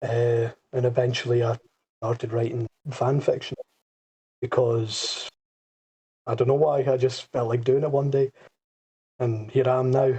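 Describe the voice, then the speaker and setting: A man's somewhat breathy, medium-pitched voice, monotone and flat, at a moderate pace with long, frequent pauses, in a dry, close sound with no echo. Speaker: podcast co-host, fan fiction writer. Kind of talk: casual group chat.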